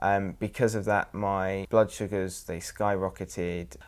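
A man with an English accent speaks at a very deep, low pitch. His intonation is fairly even, on a very clean recording with a silent background. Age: 20s. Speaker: person with diabetes. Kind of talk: testimony.

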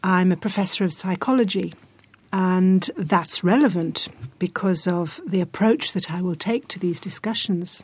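A woman with an English accent, medium in pitch, at a moderate pace and with ordinary variation in pitch. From England. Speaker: psychology professor. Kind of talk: academic discussion.

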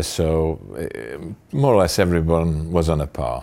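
Speaking at a fairly slow pace, a man with a very deep, low pitch talks in a Yorkshire accent. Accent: broad Yorkshire. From Sheffield, Yorkshire. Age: 60s. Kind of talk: interview answer. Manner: halting.

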